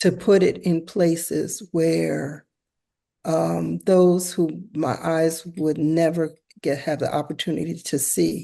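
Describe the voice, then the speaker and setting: At a very slow pace, a woman with an American accent speaks in a fairly low, dark, mellow tone with fairly even intonation over a quiet background. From US, West Philadelphia. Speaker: visual artist and teacher. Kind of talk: casual interview conversation. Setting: artist's studio.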